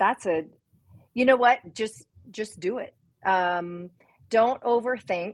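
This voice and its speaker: A woman's fairly high voice in an American accent, very slow and full of long, frequent pauses, with ordinary pitch variation. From US South, Memphis, Tennessee. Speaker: children's book author and business leader. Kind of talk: casual interview.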